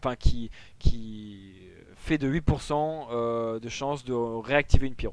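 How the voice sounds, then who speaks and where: Using an ordinary speaking voice, a man holds a medium pitch with fairly even intonation. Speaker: gaming tutorial creator. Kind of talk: tutorial.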